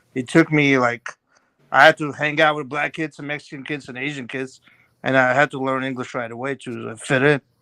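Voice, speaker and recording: A man's medium-pitched, bright and sharp voice, monotone and flat, at a fairly quick pace, with big swings in loudness and a dry, close sound with no echo on a very clean recording with a silent background. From Armenian family, born in Azerbaijan, moved to US at 11. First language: Russian and Armenian. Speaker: guest on live stream panel. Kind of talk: casual chat.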